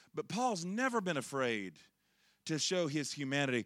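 Fairly high-pitched man with a Southern US accent at a moderate pace, on a very clean recording with a silent background. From Charlotte, North Carolina, US South. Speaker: preacher. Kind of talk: sermon. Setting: church with congregation.

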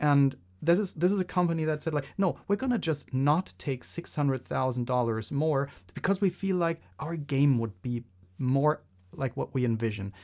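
Here a man talks with a non-native accent at a moderate pace. His intonation is lively. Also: fairly high pitch for a man. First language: not English. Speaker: podcast co-host. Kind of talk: casual chat.

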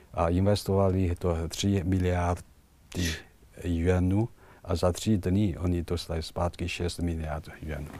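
A man talks with a very deep, low pitch and a dark, mellow tone. His intonation stays monotone and flat. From China. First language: Chinese (speaking Czech). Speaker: ambassador. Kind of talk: interview. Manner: halting.

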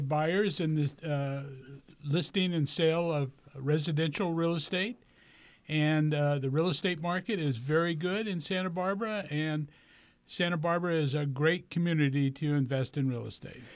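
A man with an unremarkable speaking voice talks at a moderate pace and fairly high pitch with ordinary pitch variation, on a very clean recording with a silent background. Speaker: realtor and navy veteran. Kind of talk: radio interview. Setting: radio studio.

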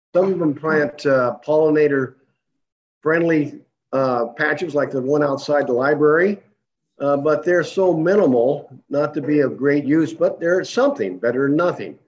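Moderate pace and ordinary pitch variation from a man, his pitch fairly high. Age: 60s. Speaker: retired entomologist and beekeeper. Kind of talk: public comment. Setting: video call. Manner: halting.

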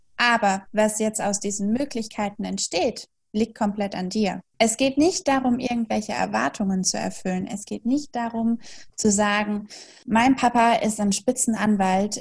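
On a very clean recording with a silent background, a woman with a fairly high pitch and a somewhat breathy voice speaks at a fairly slow pace with ordinary pitch variation. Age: 20s. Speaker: German tutor and philosophical counselor. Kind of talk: interview.

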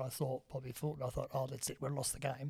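With an Australian accent, a man talks in a medium pitch with fairly even intonation and a somewhat breathy voice. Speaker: podcast host. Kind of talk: casual chat. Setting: Facebook Live stream.

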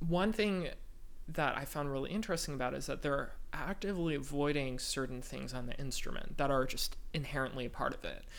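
Speaking at a fairly quick pace with an American accent, a man's fairly high voice shows ordinary pitch variation against audible room echo. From Northern California (East Bay). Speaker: composer. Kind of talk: interview. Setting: living room with high ceilings.

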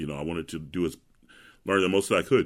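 A man's very deep, low voice in an American accent, with ordinary pitch variation. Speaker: opera singer. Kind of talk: interview. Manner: loud.

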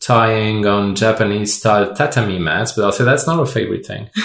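This man's voice sits at a medium pitch. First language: not English. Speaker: podcast co-host. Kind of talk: casual chat.

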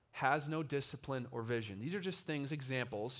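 Animated in tone, a man with a fairly high voice speaks at a moderate pace. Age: 20s. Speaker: young adult pastor. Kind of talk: sermon. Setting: church with live audience.

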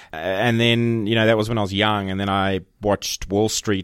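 Speaking at a very fast pace with an Australian accent, a man keeps his intonation fairly even. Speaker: agency managing director. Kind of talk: casual interview chat.

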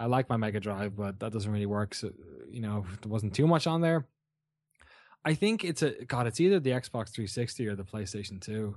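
Against a quiet background, a man with a southeastern Irish accent speaks at a fairly quick pace with fairly low pitch and ordinary pitch variation. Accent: southeast Irish. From Ireland, Waterford (southeast). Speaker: video game journalist and show host. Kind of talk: casual chat. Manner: animated.

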